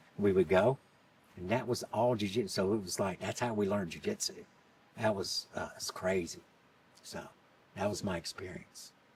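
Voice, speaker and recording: A man with a fairly low voice talks at a moderate pace, leaving long, frequent pauses. His pitch varies in an ordinary way over noticeable background noise. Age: 60s. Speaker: martial arts instructor. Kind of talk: interview answer.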